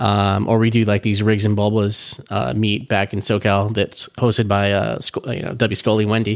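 On a very clean recording with a silent background, a man with an American accent speaks in a fairly low, monotone, flat voice at a moderate pace with hardly any pauses. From Southern California. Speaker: car enthusiast. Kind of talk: casual chat. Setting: in person at home.

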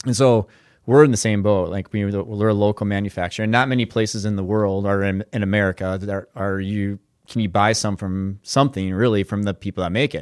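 With an Upper Midwest accent, a man speaks very fast at a fairly low pitch and fairly even intonation, in a very clean, silent-background recording that sounds dry and close with no echo. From Minnesota. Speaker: business owner. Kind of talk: casual chat.

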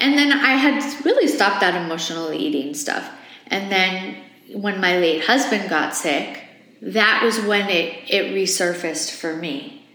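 A woman at a fairly slow pace with very wide pitch swings, plus noticeable background noise and audible room echo. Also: medium pitch for a woman. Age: 40s. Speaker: host's wife, former co-host. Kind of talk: casual chat, personal testimony.

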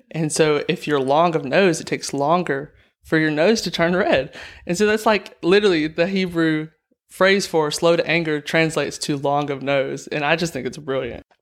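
A man with a fairly high pitch and a Southern US accent, at a moderate pace with ordinary pitch variation, on a very clean recording with a silent background. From Alabama. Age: young. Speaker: nursing student. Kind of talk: casual interview.

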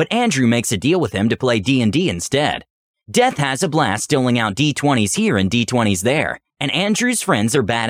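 Plain reading aloud plays against a quiet background.

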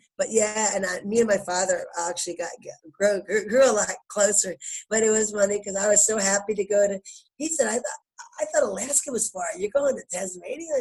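Animated in tone, a woman talks at a fairly quick pace with a medium pitch and ordinary pitch variation. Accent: Philadelphia. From Philadelphia, US. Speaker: basketball coach, former pro player. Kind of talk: casual interview.

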